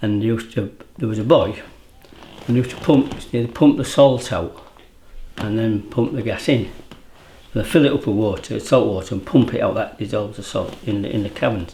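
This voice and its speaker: A medium-pitched man with an East Yorkshire accent, fairly quick yet with long, frequent pauses, ordinary pitch variation, and noticeable background noise. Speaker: fisherman. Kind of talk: interview.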